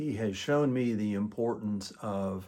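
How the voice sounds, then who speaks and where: Fairly low in pitch, a man speaks in an unremarkable speaking voice with ordinary pitch variation. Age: 60s. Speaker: guitarist, music student. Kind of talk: testimonial. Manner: formal.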